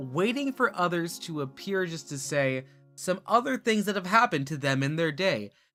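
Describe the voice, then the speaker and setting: There is music in the background behind a man with a high pitch. His pitch swings very widely. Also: moderate pace. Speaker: VTuber streamer. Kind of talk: improvised rhyming chat. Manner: soft, sleep-aid style.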